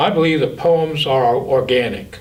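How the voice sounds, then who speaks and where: A man is speaking here. His pitch is fairly high, with ordinary variation. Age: 60s. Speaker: poet and school psychologist. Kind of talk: talk about creative process.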